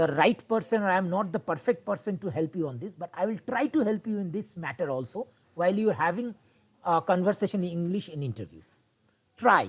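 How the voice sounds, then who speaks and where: A man at a high pitch and a very fast pace, with lively intonation. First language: Bengali. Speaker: instructor. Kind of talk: online class session. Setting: video call. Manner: halting.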